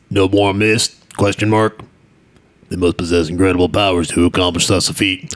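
Using a put-on character voice, a man speaks at a very deep, low pitch and a moderate pace. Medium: game stream. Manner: scornful, curt, boastful.

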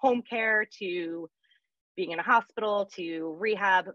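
A woman speaks with ordinary pitch variation. The sound is dry with no echo over a quiet background. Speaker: interview guest. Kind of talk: interview answer. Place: home room. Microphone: earbuds.

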